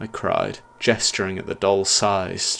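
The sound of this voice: Reading aloud in an unforced reading voice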